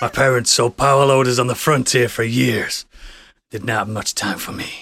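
A man does a put-on character voice at a medium pitch. It sounds raspy and moves at a moderate pace. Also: very clean recording, silent background. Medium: actual play. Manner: gruff, swaggering.

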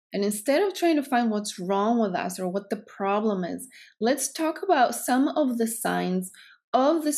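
A woman speaks at a moderate pace in a Greek accent, her pitch fairly high. The recording is very clean, with a silent background. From Greece. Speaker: psychotherapist and podcast host. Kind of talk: solo podcast talk.

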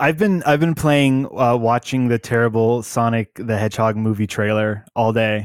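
A man's unremarkable speaking voice at a moderate pace, with very even loudness, ordinary pitch variation and hardly any pauses, in a very clean recording with a silent background. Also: medium pitch for a man. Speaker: podcast co-host, gamer. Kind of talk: casual chat about video games.

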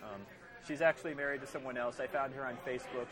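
The recording carries noticeable background noise and audible room echo. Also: man. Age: 30s. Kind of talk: casual chat. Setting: bar.

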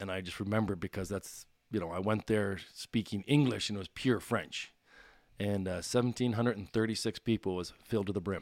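Fairly quick speech with a Maritime Canadian accent and fairly even intonation, on a very clean recording with a silent background. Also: man, fairly low pitch for a man. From Nova Scotia, Canada (Bedford). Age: 40s. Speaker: retired pro hockey player. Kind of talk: casual interview.

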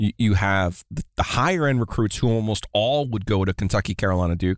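Over a very clean, silent background, a man with a normal speaking voice and a fairly low pitch talks at a fairly quick pace with lively intonation, the sound dry and close with no echo. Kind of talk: casual podcast chat.

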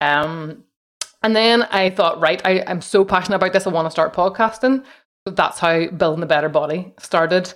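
A woman with a plain, everyday voice talks at medium pitch, keeping a moderate pace and ordinary pitch variation. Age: 40s. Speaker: podcaster. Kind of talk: casual interview.

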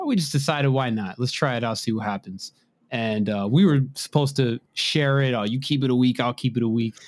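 A man with an unremarkable speaking voice, medium pitch, ordinary pitch variation, and a fairly quick pace, on a very clean recording with a silent background and a dry, close sound with no echo. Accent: American. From Maryland, US. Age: 20s. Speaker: drone photographer and videographer. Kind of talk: podcast interview.

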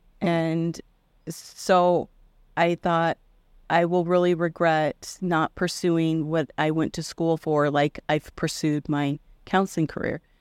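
A woman's fairly low, monotone, flat voice in an American accent at a very slow pace, dry and close with no echo, on a very clean recording with a silent background. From Iowa (Indianola). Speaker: artist and mentor. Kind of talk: interview.

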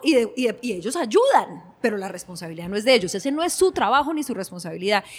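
Very wide pitch swings from a woman pitched fairly high. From Colombia, Cali. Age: 40s. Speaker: innovation consultant. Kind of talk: interview conversation.

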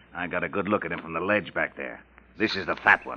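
Using a put-on character voice, a man speaks low in pitch at a fairly quick pace with a bright, sharp tone. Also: ordinary pitch variation.

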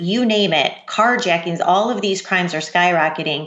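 A woman talks in an ordinary speaking voice, medium in pitch with ordinary pitch variation. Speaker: journalist. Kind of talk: interview.

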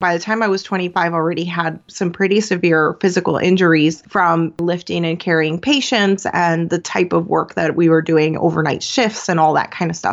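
Using an ordinary speaking voice, a woman with an American accent talks at a fairly quick pace and fairly low pitch, with fairly even intonation and hardly any pauses. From Venezuela, raised in the US. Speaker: business coach, former nurse. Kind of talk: interview conversation.

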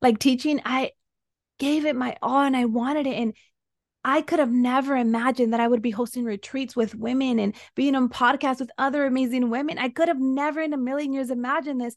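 Against a quiet background, a woman with a Spanish accent talks at a fairly quick pace and a high pitch. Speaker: soul embodiment and breathwork coach, former teacher. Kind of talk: casual interview chat.

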